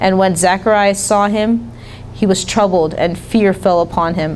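This woman talks at a moderate pace with ordinary pitch variation. Light background noise sits behind her. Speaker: speaker. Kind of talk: sermon scripture reading. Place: church. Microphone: handheld.

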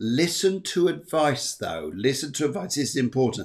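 Speaking at a moderate pace and a medium pitch, a man makes big pitch swings.

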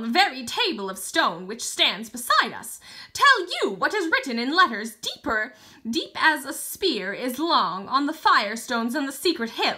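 In a shrill, put-on character voice, the speaker swings very widely in pitch at a moderate pace. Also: female-sounding voice. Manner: angry, accusing.

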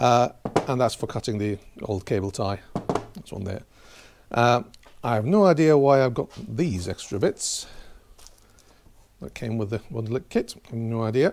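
A man speaks at a moderate pace, leaving long, frequent pauses. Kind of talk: tutorial. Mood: relaxed, lightly humorous. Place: garage. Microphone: camera far.

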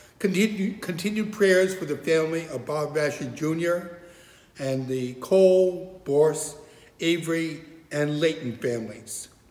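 A man talks at a fairly slow pace with a fairly high pitch, a slightly mellow tone and ordinary pitch variation. Strong room echo surrounds the voice.

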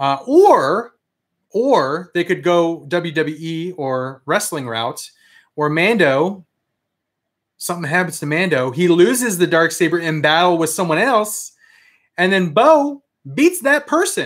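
Against a quiet background, a man with an American accent speaks at a very slow pace in a high pitch. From US Mid-Atlantic (DC area, Fairfax County, Virginia); Virginia. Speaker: toy collector youtuber; toy collector livestreamer. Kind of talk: live stream chat with viewers. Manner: casual, rambling with fillers. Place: home room. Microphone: webcam.

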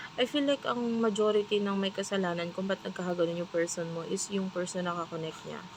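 Soft-spoken and very fast, a woman talks at medium pitch with ordinary pitch variation over noticeable background noise. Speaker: tarot reader. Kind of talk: tarot reading. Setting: restaurant staff room.

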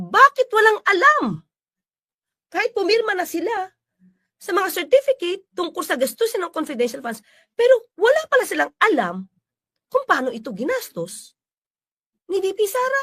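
The voice is raised and projected, with a bright, sharp tone, very wide pitch swings, and big swings in loudness. It moves at a moderate pace with long, frequent pauses, and the sound is dry and close with no echo. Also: woman, extremely high pitch for a woman. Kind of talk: commentary.

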